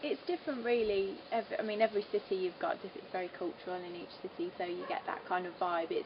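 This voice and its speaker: A woman with a Birmingham accent, medium in pitch, at a very fast pace with hardly any pauses and lively intonation, over noticeable background noise. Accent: Birmingham (Brummie). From English Midlands, Solihull near Birmingham. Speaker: singer. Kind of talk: interview. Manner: hesitant, many fillers.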